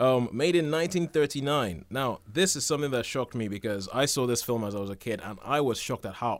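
The recording is very clean, with a silent background. A man with a plain, everyday voice speaks at medium pitch and a moderate pace. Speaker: radio host. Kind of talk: casual chat. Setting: studio.

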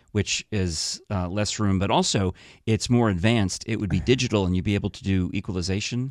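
A man with an ordinary speaking voice talks at a fairly quick pace, his pitch fairly low and his intonation fairly even. The recording is very clean, with a silent background. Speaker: podcast host. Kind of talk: casual chat.

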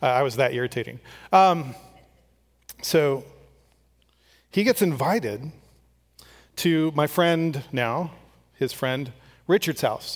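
On a very clean recording with a silent background, a man uses lively intonation but moves at a very slow pace with long, frequent pauses. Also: fairly high pitch for a man. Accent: Californian. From California Central Valley (Strathmore). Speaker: pastor. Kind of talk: sermon. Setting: church.

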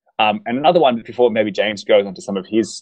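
Recorded dry and close with no echo, a man is talking. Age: 30s. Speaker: podcast co-host. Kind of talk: casual chat.

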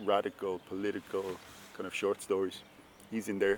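With noticeable noise behind him, a man in a Dublin accent speaks at a very fast pace. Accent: Irish (Dublin). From Ireland. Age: 30s. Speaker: writer. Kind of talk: interview.

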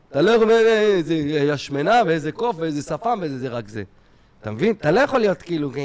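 At a fairly quick pace, a man talks with a fairly high pitch and very wide pitch swings. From Israel. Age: 40s. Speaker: stand-up comedian. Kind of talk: casual chat.

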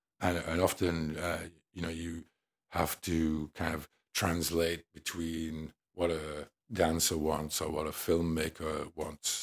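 A man with an English accent, very deep and low in pitch, fairly slow and flat in a monotone, on a very clean recording with a silent background. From England. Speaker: musician. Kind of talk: casual interview. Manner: hesitant, many fillers.

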